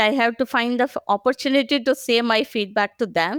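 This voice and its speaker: A woman with an Indian accent speaks at a moderate pace in a high voice with ordinary pitch variation. The sound is dry and close with no echo, on a very clean recording with a silent background. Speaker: agile professional. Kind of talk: podcast interview. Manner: hesitant, many fillers.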